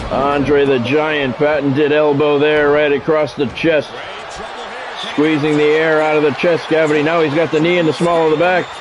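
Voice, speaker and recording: Over noticeable background noise, a man with a fairly high pitch speaks at a moderate pace in monotone, flat intonation and very even loudness. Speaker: gaming YouTuber and wrestling game streamer. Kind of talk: live wrestling play-by-play commentary over a game match. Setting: live stream. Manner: casual, conversational chatter with viewers.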